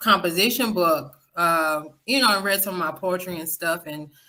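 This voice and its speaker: A woman with a Southern US accent has a fairly low pitch, a bright, sharp tone and fairly even intonation. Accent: Southern twang. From Florida, West Palm Beach. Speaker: podcaster. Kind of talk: interview.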